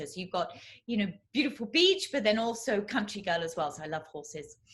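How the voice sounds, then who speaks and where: A woman talks at a medium pitch and a fairly quick pace. Her pitch swings very widely. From southeast England. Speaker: classical crossover singer. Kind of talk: interview answer.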